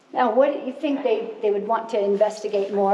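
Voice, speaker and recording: A loud woman's voice amid noticeable background noise and audible room echo. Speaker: cave tour guide. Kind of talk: guided tour talk. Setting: inside a cave on a tour.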